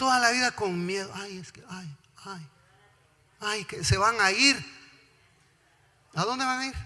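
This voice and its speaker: A man's raised, projected, high-pitched voice, bright and sharp in tone, at a fairly slow pace with ordinary pitch variation and long, frequent pauses. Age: 60s. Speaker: pastor. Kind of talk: sermon. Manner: animated.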